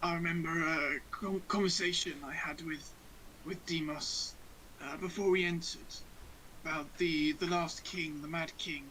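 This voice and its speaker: Over clear background noise, a man puts on a raspy character voice, high-pitched and flat in intonation, at a moderate pace. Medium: actual play. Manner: stammering, hesitant.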